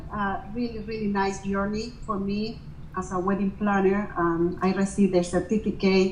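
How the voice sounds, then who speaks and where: A woman's medium-pitched voice in a Venezuelan accent, with audible room echo and noticeable background noise. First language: Spanish. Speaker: wedding planner. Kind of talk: interview. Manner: halting, many fillers and restarts.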